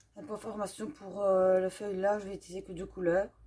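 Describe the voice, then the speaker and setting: A woman speaks in a dark, mellow tone with a Belgian accent. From Belgium. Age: 30s. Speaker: coloring YouTuber. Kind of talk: casual Q&A while coloring. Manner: hesitant, many fillers.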